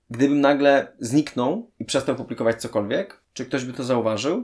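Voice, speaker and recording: Vocal fry marks this man's voice. He speaks fairly quickly. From Poland, Częstochowa. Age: 30s. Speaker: parenting blogger. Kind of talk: interview conversation.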